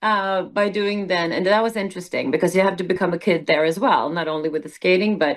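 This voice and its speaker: A woman's very fast, medium-pitched speech with hardly any pauses and fairly even intonation. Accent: Swedish. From southern Sweden. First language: Swedish. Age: 60s. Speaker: musical theater performer. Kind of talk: casual interview.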